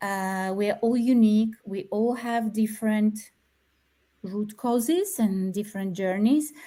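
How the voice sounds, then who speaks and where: On a very clean recording with a silent background, a woman with a fairly high pitch speaks at a fairly slow pace in a dark, mellow, somewhat breathy tone with ordinary pitch variation. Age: 40s. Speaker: therapist. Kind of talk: interview.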